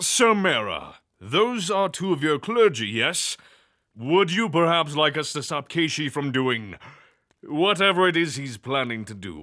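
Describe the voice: On a very clean recording with a silent background, a man uses a put-on character voice with a fairly high pitch, a bright, sharp tone, big pitch swings and a fairly slow pace.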